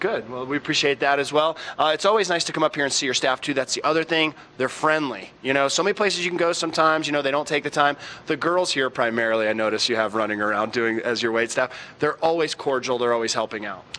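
Lively intonation marks this man's speech. He talks at a very fast pace. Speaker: TV morning show host. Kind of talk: interview questions and chat. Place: bar. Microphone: handheld.

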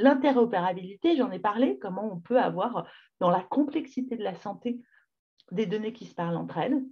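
Over a quiet background, a woman with a fairly high, somewhat breathy voice makes big swings in loudness. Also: moderate pace. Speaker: public health advocate; webinar presenter. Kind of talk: webinar talk. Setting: video call. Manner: casual, lively. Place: home room. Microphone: webcam.

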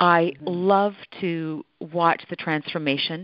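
A plain, everyday voice: a woman's fairly low pitch with ordinary variation, in a Canadian accent. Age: 50s. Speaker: holistic nutritionist and author. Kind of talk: radio interview. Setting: phone call.

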